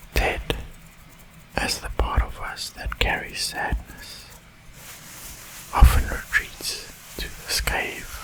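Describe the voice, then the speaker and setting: The speaker whispers at a very slow pace with long, frequent pauses. Background noise is noticeable. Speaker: ASMR creator. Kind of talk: ASMR whispered roleplay narration, calming guided story. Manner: whispered, soft-spoken, slow.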